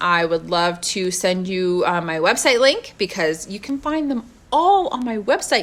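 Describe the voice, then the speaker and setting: Loud and medium in pitch, a woman's voice makes very wide pitch swings at a fairly slow pace over noticeable background noise. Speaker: motivational live streamer. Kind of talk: casual live-stream talk.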